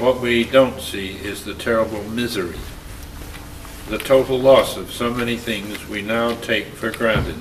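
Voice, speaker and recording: A man at a medium pitch speaks fairly slowly with monotone, flat intonation and big swings in loudness. Audible room echo and noticeable background noise fill the recording. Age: 80s+. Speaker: war veteran. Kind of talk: reading aloud.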